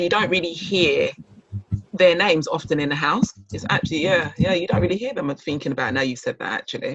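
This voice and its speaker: Lively intonation marks very fast speech heard over noticeable background noise. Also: man, high pitch for a man. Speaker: podcast host. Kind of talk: casual interview chat.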